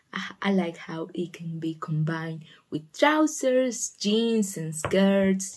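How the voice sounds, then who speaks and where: A woman speaks with lively intonation and a somewhat breathy voice. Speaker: shoe-story ASMR channel host. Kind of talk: ASMR storytelling, casual talk to camera. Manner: soft-spoken, relaxing.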